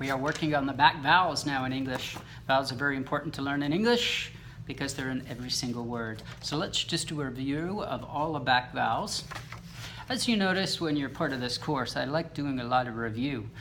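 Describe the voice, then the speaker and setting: A man with an American accent and ordinary pitch variation, against noticeable background noise. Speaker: English teacher. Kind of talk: pronunciation lesson to camera. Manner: slow, clear, encouraging.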